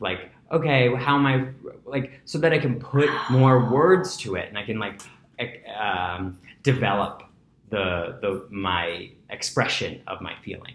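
A somewhat breathy man with an American accent, medium-pitched and fairly slow, with lively intonation and audible room echo. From New York City (Breezy Point, Queens). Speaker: yoga teacher. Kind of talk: casual interview. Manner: animated.

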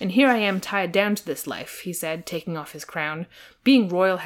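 Natural-voiced reading aloud with lively intonation.

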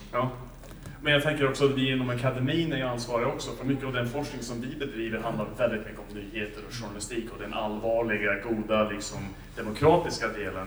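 A man with an English accent at a medium pitch, very fast and with fairly even intonation, his loudness swinging widely, amid noticeable background noise and audible room echo. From USA. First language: English (speaking Swedish). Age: 40s. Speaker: professor and panel moderator. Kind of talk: panel debate. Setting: library event with audience.

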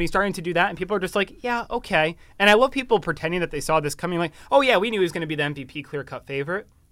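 In a very clean recording with a silent background, a man with an American accent talks at a very fast pace, his pitch high and his intonation lively. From Wisconsin. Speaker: college podcast co-host. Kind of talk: casual sports chat. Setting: studio. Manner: animated.

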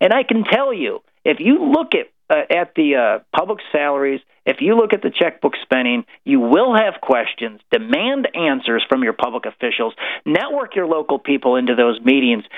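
A man speaks with a Midwestern American accent. His pace is moderate, and his pitch swings very widely. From rural Illinois. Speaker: government transparency advocate. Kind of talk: radio interview. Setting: live radio broadcast.

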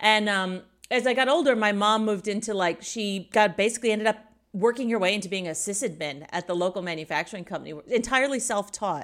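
Speaking at a very fast pace, a woman with an American accent uses a medium pitch and ordinary pitch variation. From US Midwest, Indiana. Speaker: tech professional and guest. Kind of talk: casual interview chat.

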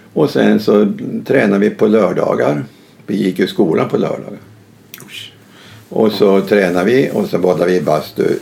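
Against noticeable background noise, a man speaks with long, frequent pauses. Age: 80s+. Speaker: retired basketball coach. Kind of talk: casual interview.

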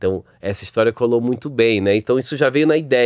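Speaking in a Rio de Janeiro accent, a man uses lively intonation at a moderate pace against a quiet background. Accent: carioca. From Rio de Janeiro, Brazil. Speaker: advertising creative director. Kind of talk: interview.

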